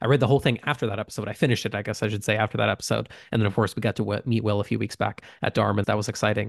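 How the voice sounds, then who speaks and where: Very fast speech from a man with a fairly low pitch, fairly even intonation and vocal fry. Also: quiet background. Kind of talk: casual chat. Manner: fast talker.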